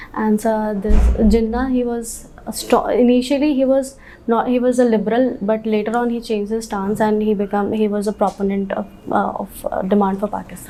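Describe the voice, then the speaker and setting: A woman speaks fairly quickly at a fairly high pitch, her intonation fairly even, over noticeable background noise. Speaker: civil service candidate. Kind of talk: job interview. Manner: halting.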